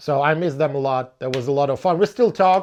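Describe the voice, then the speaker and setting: A man with a Ukrainian accent talks at a moderate pace and a fairly high pitch. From Ukraine. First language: Ukrainian or Russian. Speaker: blues musician. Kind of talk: casual Q&A podcast monologue. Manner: hesitant, many fillers and repetitions.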